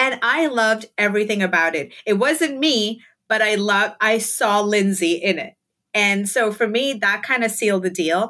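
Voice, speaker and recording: This woman has a bright, sharp tone and ordinary pitch variation, speaking at a moderate pace. The recording is very clean and the background silent. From India, Mumbai. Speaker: digital content creator. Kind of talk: casual interview chat.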